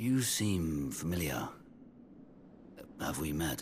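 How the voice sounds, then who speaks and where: Putting on a character voice, a man speaks very slowly with a very deep, low pitch and lively intonation while clear background noise plays. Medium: video game. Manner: intense, emotional.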